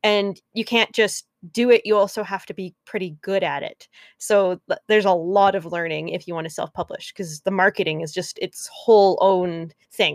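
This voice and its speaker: With a plain, everyday voice at medium pitch, a woman speaks at a moderate pace with fairly even intonation and big swings in loudness, the sound dry and close with no echo. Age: 20s. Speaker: podcast host and writer. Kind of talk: casual chat.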